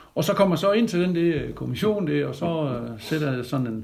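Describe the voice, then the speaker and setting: There is audible room echo around a man with a fairly high pitch. His voice is somewhat breathy, with ordinary pitch variation. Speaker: retired military instructor. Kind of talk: interview.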